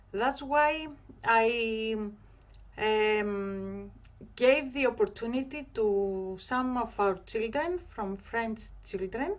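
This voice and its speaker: Speaking at a very slow pace, a woman with a Greek accent has a fairly high pitch and ordinary pitch variation. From Greece, Thessaloniki. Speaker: community organiser. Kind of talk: online group celebration talk. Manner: halting.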